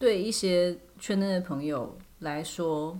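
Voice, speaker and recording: This is a woman's voice. Its pitch sits fairly low. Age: 30s. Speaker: podcast host. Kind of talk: casual chat.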